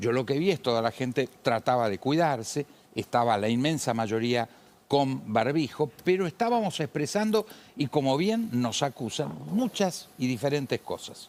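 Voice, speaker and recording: A man at a medium pitch, fairly slow in pace, his voice making very wide pitch swings. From Argentina. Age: 70s. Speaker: politician. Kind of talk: heated debate. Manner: animated.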